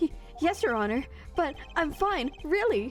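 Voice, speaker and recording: Over clear background music, a strained, put-on character voice moves at a moderate pace with very wide pitch swings. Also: woman, extremely high pitch for a woman. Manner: nervous, strained.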